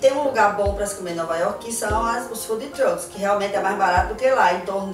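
Clear music plays in the background. A woman talks with ordinary pitch variation. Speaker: travel tips vlogger. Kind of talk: casual vlog chat. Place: home room.

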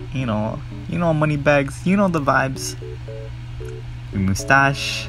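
With music in the background, a man speaks at a fairly slow pace in a playful tone, his pitch swinging very widely. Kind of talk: casual commentary voiceover. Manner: casual, playful.

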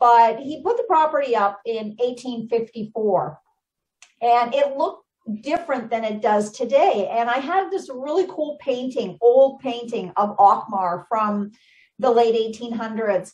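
With lively intonation and a high voice, a woman speaks at a fairly slow pace over a quiet background. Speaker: guest. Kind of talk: interview answer. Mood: enthusiastic storytelling. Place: home room. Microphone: video call.

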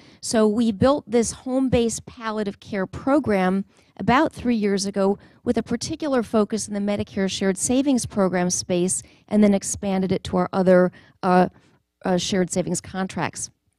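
A woman's dark, mellow voice at a moderate pace, with ordinary pitch variation, a dry sound with no echo and a quiet background. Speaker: presenter. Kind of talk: conference talk. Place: hall. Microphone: handheld.

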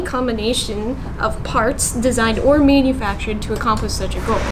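A woman talks at a fairly quick pace in a high voice with ordinary pitch variation. Noticeable background noise runs under her speech. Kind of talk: product review explanation. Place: shop.

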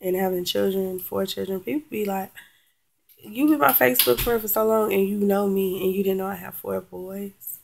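A woman speaks at a moderate pace. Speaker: vlogger. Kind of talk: casual vlog chat. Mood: frustrated, venting. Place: home room. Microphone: webcam.

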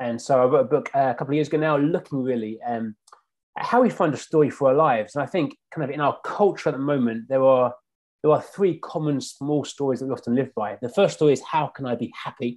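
A man with a London accent at a very fast pace, fairly high in pitch with ordinary pitch variation, against a quiet background. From South London. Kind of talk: casual chat. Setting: video call. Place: home room.

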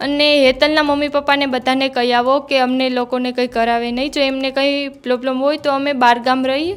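A high-pitched woman's voice with monotone, flat intonation. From Gujarat, Devbhumi Dwarka district (Bhanvad taluka). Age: 20s. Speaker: interviewee, widow seeking justice. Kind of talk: testimony.

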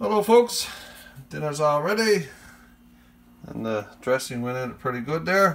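A man with a Newfoundland accent talks at a fairly high pitch and a fairly slow pace, leaving long, frequent pauses. His pitch swings very widely, and his loudness rises and falls in big swings. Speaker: YouTuber, home cook and hunter; YouTuber. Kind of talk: casual vlog cooking tutorial. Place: kitchen. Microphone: phone near.

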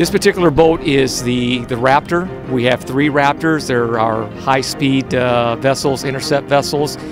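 Speech with hardly any pauses and ordinary pitch variation over clear music in the background. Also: man, moderate pace, dry sound with no echo. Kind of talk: interview answer. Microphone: handheld.

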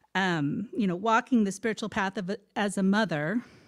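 A woman speaks at a fairly slow pace with ordinary pitch variation. The background is quiet. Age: 50s. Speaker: speaker at a spiritual center. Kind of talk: talk to a congregation. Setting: stage with audience. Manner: halting, many fillers. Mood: heartfelt, reflective. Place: church. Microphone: handheld.

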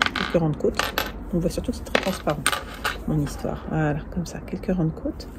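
A woman's speech with long, frequent pauses amid loud background noise. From northern France. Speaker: knitting podcaster. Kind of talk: casual chat. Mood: enthusiastic, pleased. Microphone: earbuds.

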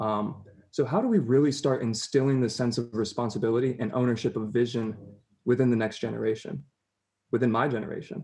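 Against a quiet background, a man speaks at a fairly quick pace. His tone is dark and mellow. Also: ordinary pitch variation. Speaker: student activist. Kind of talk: casual chat. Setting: video call. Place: home room. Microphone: video call.

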